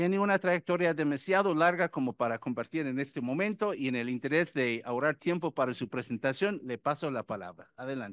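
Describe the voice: Speaking at a fairly quick pace with few pauses, a man uses a medium-pitched, fairly bright voice with lively intonation.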